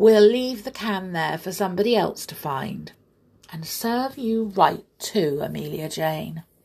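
Putting on a character voice, a woman speaks at a fairly slow pace and fairly low pitch, with lively intonation, vocal fry and a slightly husky edge.

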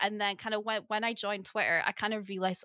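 Here a woman speaks fairly quickly, her pitch fairly high and her tone bright and sharp. The sound is dry and close with no echo, very clean, with a silent background. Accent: Scottish. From northeast Scotland. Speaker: podcast co-host. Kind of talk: interview.

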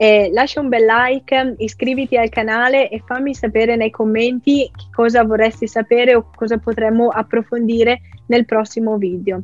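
This woman's voice sits fairly high. Her intonation is monotone and flat, and her pace is moderate. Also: dry, close sound with no echo. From Lombardy, Italy (Soresina). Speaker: product designer and YouTuber. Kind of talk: interview conversation.

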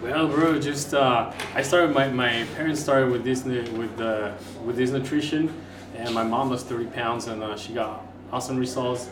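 A man with a medium pitch speaks at a moderate pace with fairly even intonation, amid audible room echo and noticeable background noise. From Mexico. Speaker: wellness coach. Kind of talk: casual chat.

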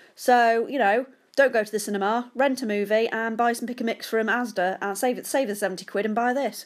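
With a British accent, the speaker talks in an animated tone at a fairly quick pace. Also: woman, fairly high pitch for a woman. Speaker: podcast host. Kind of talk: casual solo podcast monologue. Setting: home, sitting on sofa. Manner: chatty, self-deprecating, animated.

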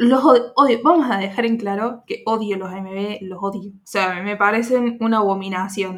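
Speaking at a moderate pace with hardly any pauses, a woman uses a medium pitch with ordinary pitch variation and big swings in loudness. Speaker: podcast host. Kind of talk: casual chat.

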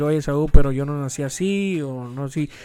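Speaking at a fairly slow pace, a man uses a fairly high pitch with ordinary variation. His tone is dark and mellow. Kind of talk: casual inspirational talk.

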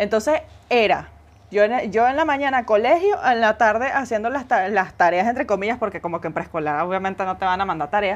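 Against a quiet background, a woman with a Venezuelan accent talks at a fairly quick pace in a fairly high, animated tone with lively intonation. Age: 20s. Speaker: podcast co-host. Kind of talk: casual chat.

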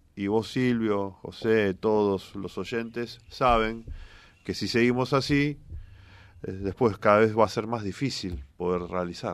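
On a very clean recording with a silent background, a man with fairly low pitch speaks at a very slow pace with ordinary pitch variation. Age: 40s. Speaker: politician, candidate for governor. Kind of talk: radio interview.

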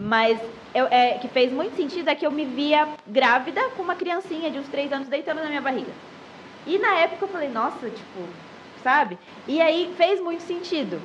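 A woman talks at a moderate pace in a high pitch with lively intonation, leaving long, frequent pauses. Noticeable background noise runs beneath her. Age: 20s. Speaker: Instagram content creator. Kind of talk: casual podcast interview. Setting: live-streamed podcast.

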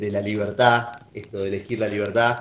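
A man speaks with an Argentine accent. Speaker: podcast host. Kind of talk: casual chat.

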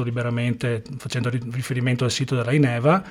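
Noticeable background noise sits behind the recording. A man talks over it at a medium pitch. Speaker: podcast host and interviewer. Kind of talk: interview.

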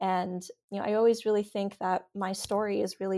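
A woman with an American accent in a normal speaking voice, medium in pitch, at a moderate pace with fairly even intonation, on a very clean recording with a silent background. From New York City (Glen Oaks, Queens). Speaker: political candidate and organizer. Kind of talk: interview.

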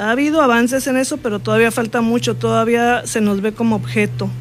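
There is noticeable background noise. Over it, a woman speaks at a fairly quick pace. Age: 60s. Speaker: politician. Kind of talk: interview. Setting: studio.

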